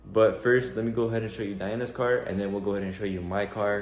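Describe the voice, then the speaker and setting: A man talks at a very fast pace in a monotone, flat intonation. Room echo is audible. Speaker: car enthusiast vlogger. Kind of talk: casual vlog. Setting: outdoors. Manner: stutter; hesitant, many fillers.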